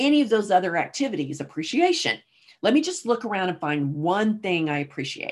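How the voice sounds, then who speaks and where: A woman's voice with very wide pitch swings at a fairly quick pace. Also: medium pitch for a woman. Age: 60s. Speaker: business coach and podcast host. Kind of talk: solo monologue. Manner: casual with frequent laughter.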